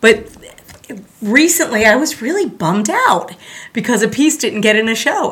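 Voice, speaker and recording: A woman with an American accent and an energetic tone, with noticeable background noise. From South Florida. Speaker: art teacher. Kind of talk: casual interview. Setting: studio.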